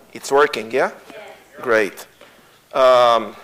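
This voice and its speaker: Over noticeable background noise, a man speaks in an Israeli accent. His pitch is medium and his pace very slow. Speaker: tour guide and Bible teacher. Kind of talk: lecture. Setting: church. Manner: halting, many fillers.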